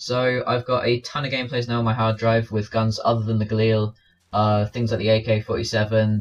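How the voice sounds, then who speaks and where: With an English accent, a man talks at medium pitch and a fairly quick pace, somewhat breathy and flat in a monotone delivery. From England. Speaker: gaming commentator. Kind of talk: gameplay commentary. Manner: fast.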